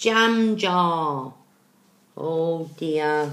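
A woman with a bright, sharp tone speaks with ordinary pitch variation, and room echo is audible. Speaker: storyteller reading to children. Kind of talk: read-aloud storytelling with asides. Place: home room. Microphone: webcam.

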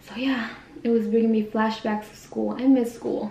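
A woman speaks at a moderate pace with a dark, mellow tone, vocal fry, and fairly high pitch. Her pitch moves little, and room echo is audible.

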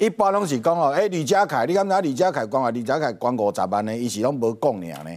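With hardly any pauses, a man races along at a very fast pace, his pitch swinging very widely, against a quiet background. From Taiwan. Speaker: talk show guest. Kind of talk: political talk show commentary. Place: studio.

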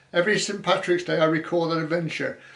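A man talks fairly quickly in a high voice. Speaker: host reading viewer comments. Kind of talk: casual livestream chat. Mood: warm, jovial. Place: home room. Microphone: webcam.

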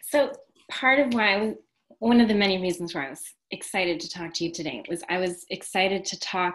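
The woman sounds enthusiastic, at a medium pitch with ordinary pitch variation. The background is quiet. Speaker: restaurant owner and interviewer. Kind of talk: casual interview conversation. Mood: warm, smiling, excited. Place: home room. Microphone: video call.

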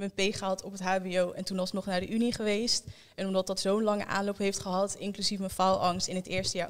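Over a quiet background, a woman talks at a fairly quick pace with monotone, flat intonation. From Netherlands, Almelo (Twente); Netherlands. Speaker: young guest sharing experience; interview guest. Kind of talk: group conversation. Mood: reflective, calm. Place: studio. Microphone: handheld.

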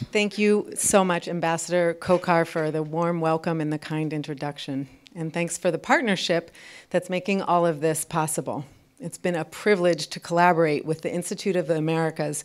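With an ordinary speaking voice, a woman talks at a fairly quick pace and with fairly even intonation over a quiet background. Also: fairly low pitch for a woman. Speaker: program host giving welcome remarks. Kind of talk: prepared welcome speech. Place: hall. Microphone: podium.

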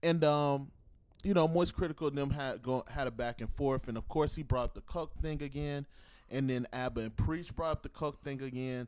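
An animated man's voice, fairly high in pitch, at a moderate pace against a quiet background. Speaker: podcast host. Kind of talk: casual chat. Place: home room. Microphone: handheld.

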